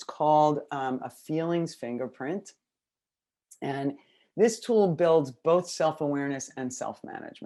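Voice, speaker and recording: Against a quiet background, a woman with an American accent talks at a moderate pace in a very deep, low voice, her dark, mellow tone showing ordinary pitch variation. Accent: New York accent when excited. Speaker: educational consultant. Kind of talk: webinar presentation. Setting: video call webinar. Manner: fairly quiet.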